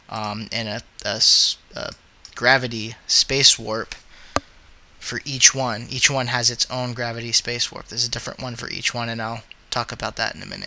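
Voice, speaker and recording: Medium-pitched man at a moderate pace, monotone and flat, with long, frequent pauses, big swings in loudness and noticeable background noise. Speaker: 3D animation hobbyist. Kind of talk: screen-capture software tutorial. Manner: hesitant, many filler words.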